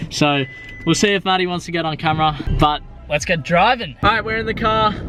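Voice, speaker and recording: The speaker talks at a fairly quick pace with an Australian accent and ordinary pitch variation, with music in the background. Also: man, high pitch for a man. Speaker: vlogger, aspiring footballer. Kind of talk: casual vlog. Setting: in a car. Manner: animated.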